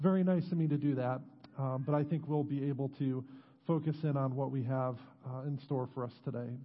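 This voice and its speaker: A man talks at a fairly quick pace with fairly even intonation. His voice is somewhat breathy. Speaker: pastor. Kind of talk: sermon. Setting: church.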